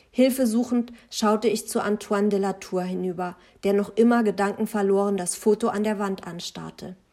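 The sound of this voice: Here the text is read in an unforced voice.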